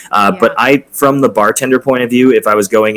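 Talking at a fairly quick pace with ordinary pitch variation, a man has an ordinary speaking voice. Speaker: bartender and former hotel bellhop. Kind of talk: casual chat. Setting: video call.

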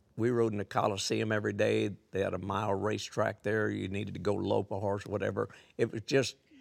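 A man with a fairly low pitch and vocal fry talks at a very fast pace in a monotone, flat intonation. The recording is very clean with a silent background. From Missouri, US Midwest. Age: 80s+. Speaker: horse trainer. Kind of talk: casual interview chat.

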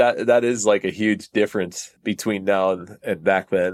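In an American accent, the speaker talks at a moderate pace on a very clean recording with a silent background. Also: man. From Connecticut, US East Coast. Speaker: drummer. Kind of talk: casual chat.

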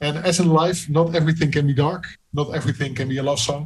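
A man with a Dutch accent, fairly high-pitched for a man, somewhat breathy, with fairly even intonation and a very fast pace. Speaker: music interviewer. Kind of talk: interview.

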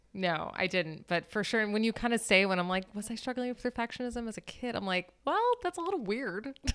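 With an American accent, the speaker talks at a fairly quick pace with hardly any pauses and lively intonation. Noticeable background noise is present. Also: woman, fairly high pitch for a woman. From Florida. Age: 30s. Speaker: dancer. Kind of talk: casual chat.

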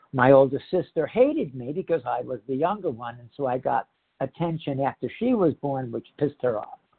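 With an American accent and an unremarkable speaking voice, the speaker moves at a fairly quick pace, showing ordinary pitch variation and big swings in loudness. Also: man, fairly high pitch for a man. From Northeast New Jersey, US. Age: 60s. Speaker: speaker sharing recovery story in a support program. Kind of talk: testimony. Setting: phone meeting. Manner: candid, conversational, self-deprecating.

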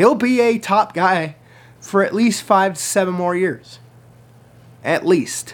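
A man speaks at a very slow pace in a high voice with ordinary pitch variation. He leaves long, frequent pauses. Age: 20s. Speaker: sports podcast host. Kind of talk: solo sports picks podcast. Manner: casual, chatty.

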